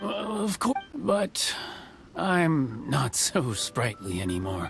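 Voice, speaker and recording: A man's raspy, medium-pitched put-on character voice with very wide pitch swings at a very slow pace, with clear background noise. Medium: video game. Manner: folksy, chuckling.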